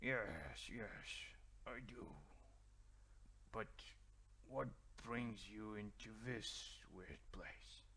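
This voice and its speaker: A man's put-on character voice, very slow, with long, frequent pauses over clear background noise. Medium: actual play.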